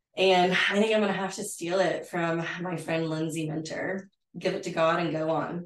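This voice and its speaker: With a Texan accent, a woman speaks at a moderate pace with a fairly low pitch. Her intonation is monotone and flat. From West Texas, San Angelo. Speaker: interior designer. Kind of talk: casual chat. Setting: at her home.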